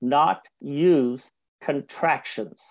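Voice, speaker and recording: Lively intonation marks this man's fairly high-pitched voice. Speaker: professional speaker and speaker coach. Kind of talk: interview.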